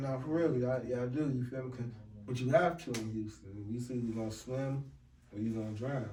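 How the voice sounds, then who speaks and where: A man with a medium-pitched voice speaks at a fairly quick pace with fairly even intonation. Audible room echo and noticeable background noise surround him. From Washington DC. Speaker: podcast host. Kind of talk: casual chat.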